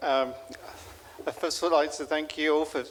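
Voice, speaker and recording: Speaking with a British accent, a man keeps his intonation fairly even. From UK. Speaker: father of the groom. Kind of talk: wedding speech. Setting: wedding reception. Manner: halting, many fillers.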